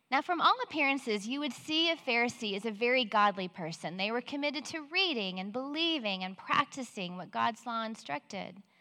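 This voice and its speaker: A woman with an American accent speaks at a fairly high pitch, with very wide pitch swings. Her pace is fairly quick with hardly any pauses, over noticeable background noise. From Central Texas. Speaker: women's Bible study speaker. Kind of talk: Bible teaching talk. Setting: stage in near-empty auditorium, livestreamed.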